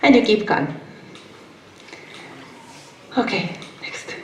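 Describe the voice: Strong room echo surrounds a woman talking at a moderate pace, her medium pitch rising and falling in big swings.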